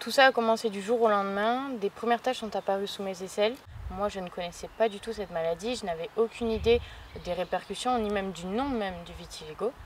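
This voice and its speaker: Fairly quick female speech at a medium pitch, with ordinary pitch variation. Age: 20s. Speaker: patient with vitiligo. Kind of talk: testimony. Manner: hesitant, many fillers.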